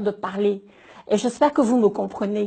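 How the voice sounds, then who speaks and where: The speaker is a woman. Her voice sounds somewhat breathy. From Cameroon. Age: 50s. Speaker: business owner. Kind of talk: public appeal. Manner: halting, repeating words.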